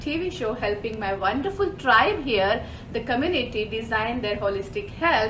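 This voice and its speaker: Against noticeable background noise and audible room echo, a woman speaks with a non-native accent and lively intonation. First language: not English. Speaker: holistic health mentor. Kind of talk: live show presentation. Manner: animated.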